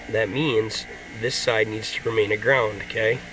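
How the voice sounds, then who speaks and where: Music can be heard in the background. Over it, a man talks at a fairly slow pace. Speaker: auto mechanic. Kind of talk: casual talk to camera.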